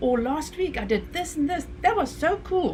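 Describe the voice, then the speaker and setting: A woman with a Namibian accent at a moderate pace, very wide pitch swings, audible room echo and noticeable background noise. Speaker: e-commerce coach, show host. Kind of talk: casual chat.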